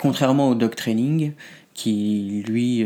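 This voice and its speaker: His voice at a medium pitch, a man speaks in a dark, mellow tone with fairly even intonation. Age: 30s. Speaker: pup play practitioner. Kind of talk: interview.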